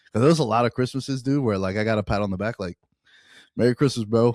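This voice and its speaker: In a very clean recording with a silent background, a man with an American accent speaks at a medium pitch with ordinary pitch variation and a dry, close sound with no echo. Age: 30s. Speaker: sports betting podcast host. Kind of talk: casual chat. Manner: animated.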